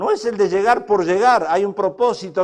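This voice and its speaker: With an animated tone, a high-pitched man talks using ordinary pitch variation. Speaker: pastor. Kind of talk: sermon.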